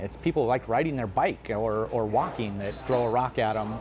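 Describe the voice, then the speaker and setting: Light background noise sits behind the recording. A man speaks at a moderate pace. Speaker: interviewed local reporter. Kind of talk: interview answer. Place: cafe. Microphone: lapel.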